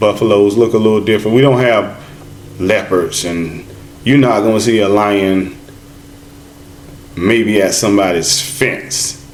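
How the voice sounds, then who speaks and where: With music in the background and audible room echo, a man talks at a fairly slow pace with ordinary pitch variation and long, frequent pauses. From United States. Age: 50s. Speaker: travel vlogger. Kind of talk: casual chat.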